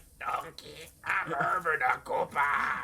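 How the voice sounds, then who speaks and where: A put-on character voice at a fairly slow pace. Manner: badly done, devolving impression.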